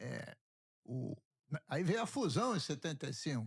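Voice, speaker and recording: Very slow and somewhat breathy, a man talks at a fairly high pitch. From Rio de Janeiro, Brazil. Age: 70s. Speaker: state legislator. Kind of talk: interview. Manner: halting.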